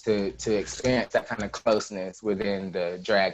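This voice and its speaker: A man's unremarkable speaking voice with an American accent, fairly low in pitch, at a moderate pace with fairly even intonation. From US South, Georgia (Carrollton). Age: 20s. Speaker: drag performer. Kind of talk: interview.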